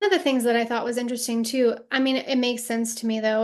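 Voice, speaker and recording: A woman speaks in a normal speaking voice. Her pitch is fairly high, with ordinary variation. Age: 40s. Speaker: astrology podcast host. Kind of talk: casual chat.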